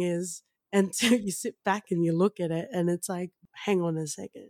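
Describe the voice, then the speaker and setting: A woman with an Australian accent at a moderate pace, in a dry, close sound with no echo. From Australia, Western Sydney. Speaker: podcast co-host. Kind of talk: casual chat.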